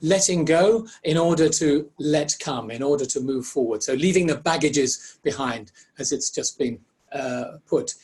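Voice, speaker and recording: A somewhat breathy man with a fairly high pitch, ordinary pitch variation and a moderate pace. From Ireland. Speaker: facilitation trainer presenting a webinar. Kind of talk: interactive webinar presentation.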